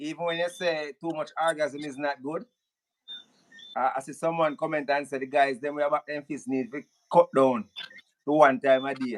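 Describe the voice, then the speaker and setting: At a moderate pace, a man with a Jamaican accent speaks at a fairly high pitch with fairly even intonation, the sound dry and close with no echo. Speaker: live show host. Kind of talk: live stream call-in. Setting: live stream.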